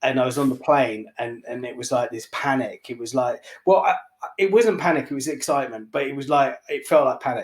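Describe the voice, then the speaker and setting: This man has a London accent and a fairly high pitch with ordinary variation. He speaks at a fairly quick pace. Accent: London English, noticed by New York buyers. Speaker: barbershop owner and entrepreneur. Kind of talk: podcast interview, telling his story. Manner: animated; hesitant with many fillers.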